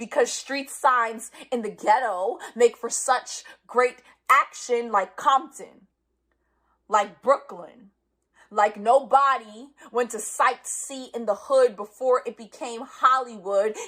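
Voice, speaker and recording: High-pitched and bright, sharp in tone, a woman with a New York accent speaks at a very slow pace with ordinary pitch variation and big swings in loudness. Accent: New York City. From New York City, the Bronx. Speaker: spoken word poet. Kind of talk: spoken word performance. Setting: live stream from home.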